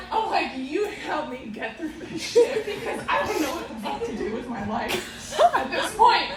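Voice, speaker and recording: Over noticeable background noise and audible room echo, a woman with a high pitch speaks in an animated tone at a fairly slow pace, with hardly any pauses and very wide pitch swings. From US, Romanian immigrant family. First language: Romanian. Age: 40s. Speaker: comedian. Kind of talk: stand-up. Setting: stage with audience.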